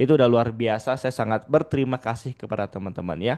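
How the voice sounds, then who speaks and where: A man speaks at medium pitch with ordinary pitch variation. The sound is dry and close, with no echo. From Padang, West Sumatra, Indonesia. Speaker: digital marketing trainer. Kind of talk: webinar presentation. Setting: Zoom video call. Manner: casual, interactive.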